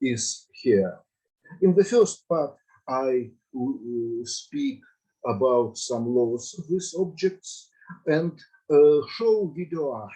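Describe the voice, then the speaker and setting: Speaking at a very slow pace with long, frequent pauses, this voice has a Russian accent, a dark, mellow tone and lively intonation. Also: man. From Russia, Saint Petersburg. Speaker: mathematics teacher and lecturer. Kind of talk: lecture. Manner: halting.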